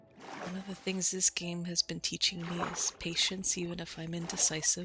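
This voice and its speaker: Over noticeable background noise, a woman speaks at a moderate pace with a fairly low pitch and monotone, flat intonation. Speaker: relaxation and sleep-aid content creator. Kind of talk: soft-spoken Minecraft relaxation commentary.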